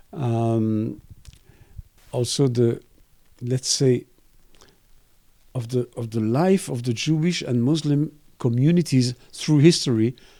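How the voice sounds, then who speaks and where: With a dark, mellow tone and a French accent, a man speaks at a very slow pace. His pitch is medium, with ordinary pitch variation. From Belgium. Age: 60s. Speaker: cartoonist and art professor. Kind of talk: interview. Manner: halting, with frequent repetitions.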